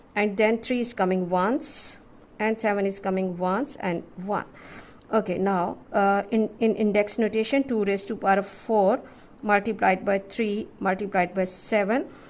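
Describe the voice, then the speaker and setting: Her intonation fairly even, a woman talks at a medium pitch. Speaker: maths teacher. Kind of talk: tutorial. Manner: slow.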